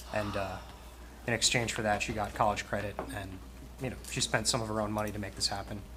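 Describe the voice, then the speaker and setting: Over noticeable background noise, a man rattles along at a very fast pace. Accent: American. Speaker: township committee member. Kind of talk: public meeting discussion. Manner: soft-spoken.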